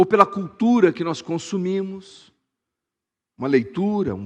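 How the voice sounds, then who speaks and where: An animated voice moves at a fairly slow pace against a quiet background. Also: man. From Brazil, Suzano (São Paulo state). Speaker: pastor. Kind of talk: sermon.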